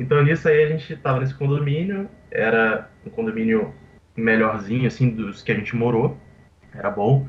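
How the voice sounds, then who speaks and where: Here is a normal speaking voice at a moderate pace. Its intonation is lively. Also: man, medium pitch for a man. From Brazil, Vitória, Espírito Santo. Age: 20s. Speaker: professional poker player. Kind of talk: interview.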